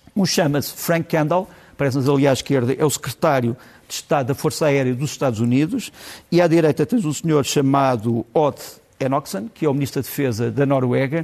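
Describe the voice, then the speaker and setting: Speaking in a European Portuguese accent, a man talks at a fairly quick pace with very even loudness. His pitch is fairly high, with ordinary variation. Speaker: political commentator. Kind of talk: TV commentary segment. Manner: hesitant, with fillers.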